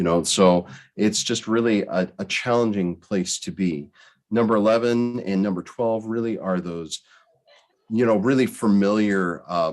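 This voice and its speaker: A man with an American accent has a plain, everyday voice. He speaks fairly slowly at a fairly low pitch, with ordinary pitch variation. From Oregon coast. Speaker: board development consultant. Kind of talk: presentation to school board. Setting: video call.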